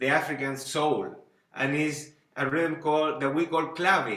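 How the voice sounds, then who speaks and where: A man with a Spanish accent speaks at a fairly high pitch, and audible room echo surrounds his voice. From Chile, Santiago. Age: 40s. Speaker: band leader and music teacher. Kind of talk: lecture. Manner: halting, with many repetitions.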